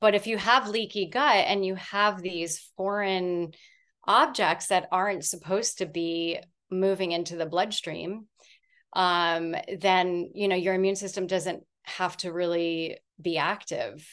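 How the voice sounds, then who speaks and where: Against a quiet background, a woman with an ordinary speaking voice talks at a fairly slow pace and medium pitch, with ordinary pitch variation. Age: 40s. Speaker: fermented food business owner. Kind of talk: interview.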